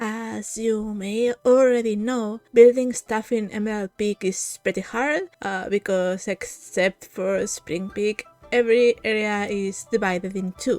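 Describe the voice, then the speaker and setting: A woman with a non-native accent, upbeat in tone and fairly slow, with music playing in the background. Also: fairly high pitch for a woman, hardly any pauses, dry, close sound with no echo. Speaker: game content creator. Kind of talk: video intro to camera.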